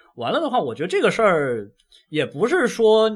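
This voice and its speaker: A man is speaking. His pace is moderate. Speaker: podcast host. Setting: shared mic with others.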